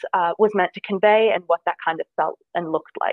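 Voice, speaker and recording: A woman speaks at a moderate pace with a New Jersey accent. Her intonation stays fairly even. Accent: American, New Jersey. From US, New Jersey. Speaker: design student. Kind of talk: interview.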